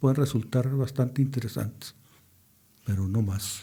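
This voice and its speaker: With a dark, mellow tone and lively intonation, a somewhat breathy man speaks at a moderate pace. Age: 70s. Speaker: engineer, participant in a historic movement. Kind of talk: radio interview.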